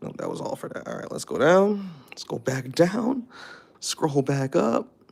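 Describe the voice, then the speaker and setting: A man's fairly slow, high-pitched speech with very wide pitch swings and big swings in loudness, over noticeable background noise. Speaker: streamer reading chat. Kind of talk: casual live stream chat. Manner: switches between formal and slang speech.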